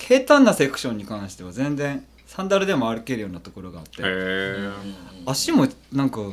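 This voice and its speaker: The voice moves through very wide pitch swings and big swings in loudness at a fairly quick pace, with noticeable background noise behind it. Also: man, medium pitch for a man. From Gunma, Japan. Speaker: backpack maker. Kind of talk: casual chat.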